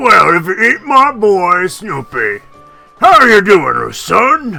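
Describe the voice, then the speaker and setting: Over faint background music, a fairly high put-on character voice speaks at a very slow pace. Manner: gruff, gravelly.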